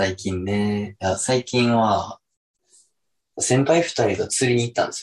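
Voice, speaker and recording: Speaking in a Kansai accent at a fairly slow pace, a man uses a medium pitch with ordinary pitch variation against a quiet background. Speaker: podcast co-host. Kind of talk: casual chat.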